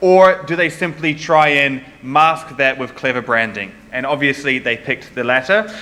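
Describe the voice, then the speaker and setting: Over noticeable background noise, the speech comes at a moderate pace with ordinary pitch variation in a New Zealand accent. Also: man. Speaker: conference speaker on security. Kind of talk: conference talk. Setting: stage with audience. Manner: casual, with filler words.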